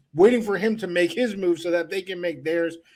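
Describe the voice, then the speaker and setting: The voice belongs to a man. His pitch moves up and down in an ordinary way. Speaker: sports podcast host. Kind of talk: sports podcast talk.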